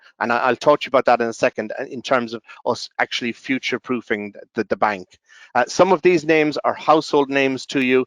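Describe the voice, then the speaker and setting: A man with an Irish accent talks at a very fast pace and medium pitch with ordinary pitch variation. The sound is dry and close with no echo. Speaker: software company representative. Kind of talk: webinar presentation. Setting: online webinar. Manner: halting, many fillers and restarts.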